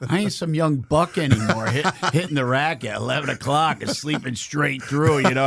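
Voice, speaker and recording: Noticeable background noise sits behind a man speaking at a moderate pace. He uses ordinary pitch variation and hardly any pauses. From New Jersey. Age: 60s. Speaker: Marine veteran and counselor, nonprofit founder. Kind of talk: casual interview chat.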